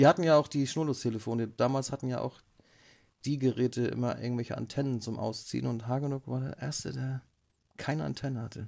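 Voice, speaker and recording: Speaking at a very fast pace, a man at medium pitch shows ordinary pitch variation in a very clean recording with a silent background. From northern Germany, Flensburg. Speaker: podcast host. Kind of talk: casual chat. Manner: animated.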